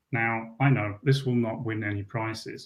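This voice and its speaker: The man's voice has a somewhat breathy quality, and his pitch moves up and down an ordinary amount. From Switzerland. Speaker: software developer conference speaker. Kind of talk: conference tech talk with live demo.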